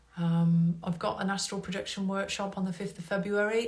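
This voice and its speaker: Audible room echo surrounds a woman speaking at a fairly quick pace. Her medium-pitched voice stays monotone and flat. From England. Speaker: hypnotherapist and meditation teacher. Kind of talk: live stream talk. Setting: Instagram live stream.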